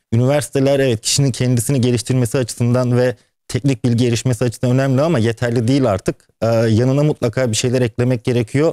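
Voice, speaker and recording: A man speaks very fast in a dark, mellow tone, with monotone, flat intonation and very even loudness. The sound is dry with no echo, over a quiet background. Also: medium pitch for a man. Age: 30s. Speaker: entrepreneur and businessman; guest. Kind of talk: TV interview. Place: studio.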